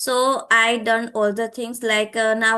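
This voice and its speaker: In a Gujarati accent, a woman with a fairly high pitch speaks in a bright, sharp tone with monotone, flat intonation. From Gujarat, India. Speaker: English learner, YouTuber and tutor. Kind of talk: casual conversation practice. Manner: halting, many fillers.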